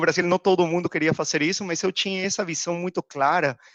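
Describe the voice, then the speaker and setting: In a dry, close sound with no echo and a quiet background, a man with a high pitch talks in a Peruvian accent. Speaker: procurement executive. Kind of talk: podcast interview.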